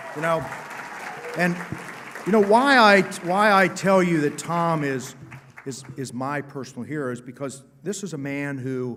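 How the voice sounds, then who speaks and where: Man with an American accent at a fairly high pitch, lively intonation and big swings in loudness, moderate pace with long, frequent pauses, over crowd noise in the background and audible room echo. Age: 60s. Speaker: state senator. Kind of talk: conference speech. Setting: stage with audience. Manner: animated; halting.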